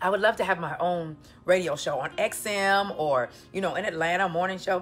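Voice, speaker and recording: A woman's animated tone at a medium pitch and fairly quick pace, with ordinary pitch variation, on a very clean recording with a silent background. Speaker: dating coach. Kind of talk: casual vlog talk to viewers.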